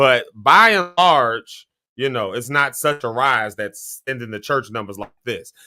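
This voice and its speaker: A man speaks with a slight Southern US accent in a bright, sharp tone. The recording is very clean, with a silent background. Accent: slight Southern US country. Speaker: talk show host. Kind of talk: live show discussion. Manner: halting, repeats words.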